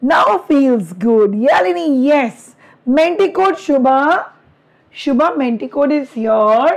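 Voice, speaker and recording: A woman with an Indian accent speaks very slowly in a high voice, her pitch swinging very widely while her loudness stays very even. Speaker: online teacher. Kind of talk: live online class. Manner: animated.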